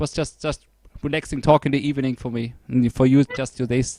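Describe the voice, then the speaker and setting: A man with a German accent at a fairly quick pace, medium pitch and fairly even intonation, recorded dry and close with no echo. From Germany. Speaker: podcast host, music reviewer. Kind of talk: casual interview chat.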